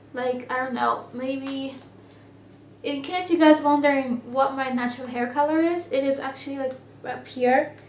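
With audible room echo, a woman speaks in a high voice at a moderate pace. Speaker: beauty vlogger. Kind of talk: casual vlog. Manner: animated. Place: home room. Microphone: webcam.

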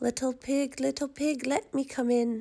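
Growling in a put-on character voice, a woman holds a high pitch with little pitch movement, a dark, mellow tone and vocal fry. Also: fairly slow pace.

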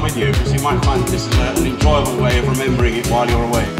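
Very fast speech over loud background music. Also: man. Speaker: novelist. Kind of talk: interview answer. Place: stage. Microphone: pa.

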